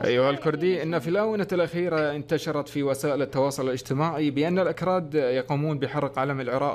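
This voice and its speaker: A man speaks with an Iraqi accent. His pitch is fairly high and his intonation fairly even. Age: young. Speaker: YouTuber. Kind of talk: casual chat. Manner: formal classical Arabic.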